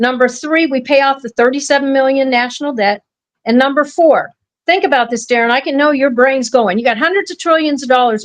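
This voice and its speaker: Speaking at a fairly quick pace with an American accent, a woman with a high pitch sounds animated. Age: 60s. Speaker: podcast host and family rights activist. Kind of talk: casual podcast talk.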